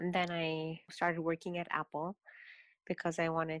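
A woman's very deep, low voice at a moderate pace, monotone and flat, in a very clean recording with a silent background and a dry, close sound with no echo. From Kenya. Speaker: artist and abuse survivor. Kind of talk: interview testimony.

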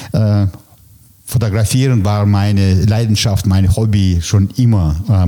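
A man with a Russian accent talks at a fairly slow pace in a fairly low pitch with ordinary pitch variation, against noticeable background noise. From former Soviet Union (ethnic German, Kazakhstan). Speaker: press photographer. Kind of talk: interview. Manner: hesitant, many fillers.

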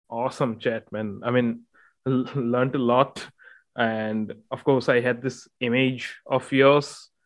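With an Indian accent, a man speaks at a medium pitch and a fairly slow pace, his intonation monotone and flat against a quiet background. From Northeast India. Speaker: podcast host. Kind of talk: podcast interview. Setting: remote call.

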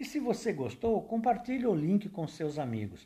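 At a fairly slow pace, a man speaks in a high pitch with a dark, mellow tone. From Brazil, São Paulo. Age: 60s. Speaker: podcast host and amateur songwriter. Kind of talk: personal storytelling monologue.

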